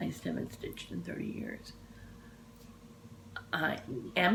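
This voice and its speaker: Amid audible room echo, a woman is whispering with an American accent. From Texas, Dallas. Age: 60s. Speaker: cross-stitch vlogger. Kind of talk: casual chat. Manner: animated.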